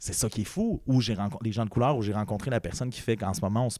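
Speaking at a very fast pace, a man has a dark, mellow tone in a very clean recording with a silent background. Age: 20s. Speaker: podcast host. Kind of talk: casual chat. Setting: studio.

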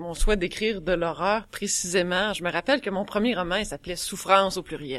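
In a very clean recording with a silent background, a woman with a fairly low pitch and a normal speaking voice talks at a moderate pace. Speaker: horror author. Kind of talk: panel discussion.

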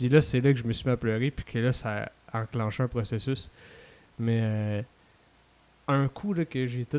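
Soft-spoken in a Quebec accent, the speaker has a dark, mellow tone, ordinary pitch variation and a moderate pace, in a dry, close sound with no echo. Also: man. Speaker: podcast guest. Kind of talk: casual chat.

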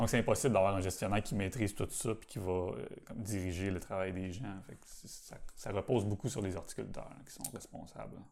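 Talking at a fairly quick pace with hardly any pauses, a man in a fairly low pitch uses an ordinary speaking voice, ordinary pitch variation, and big swings in loudness. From Quebec, south shore of Montreal. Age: 40s. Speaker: botanical garden bonsai curator. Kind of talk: casual interview.

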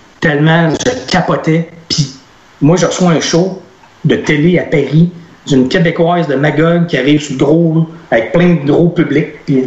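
A man speaks at a fairly slow pace in a fairly high pitch, his intonation fairly even, with long, frequent pauses and noticeable background noise. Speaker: author and speaker. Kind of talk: casual chat.

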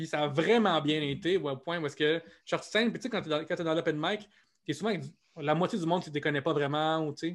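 A man with a fairly high voice at a fairly quick pace, with ordinary pitch variation. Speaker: comedian. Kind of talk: interview. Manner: fast.

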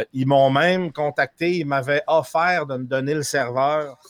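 The sound is dry and close with no echo as a man talks. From France, raised in Quebec. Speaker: streamer. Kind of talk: casual chat.

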